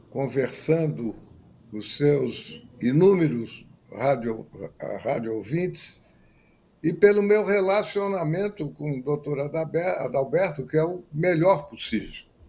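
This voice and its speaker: A man speaks very slowly at a fairly high pitch. His intonation is lively and his loudness swings widely. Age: 80s+. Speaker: retired pediatric surgeon and consultant. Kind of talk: radio interview.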